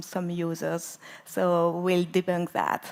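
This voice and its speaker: A woman speaks with a French accent. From France. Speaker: conference speaker, database expert. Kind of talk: conference talk. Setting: stage with audience.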